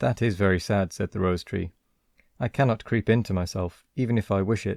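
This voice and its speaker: On a very clean recording with a silent background, a man with a British accent talks at a fairly low pitch with ordinary pitch variation. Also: dry, close sound with no echo. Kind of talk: story reading.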